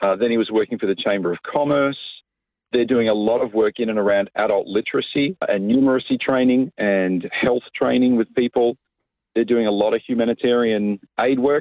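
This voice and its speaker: A man speaks with an Australian accent. His pace is fairly quick and his intonation fairly even. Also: medium pitch for a man. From Australia, Coffs Harbour NSW. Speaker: pastor. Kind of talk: casual interview.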